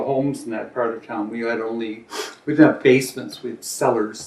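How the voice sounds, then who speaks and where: Amid noticeable background noise, a man talks at a fairly quick pace with monotone, flat intonation. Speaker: oral history interviewee. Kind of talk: interview answer.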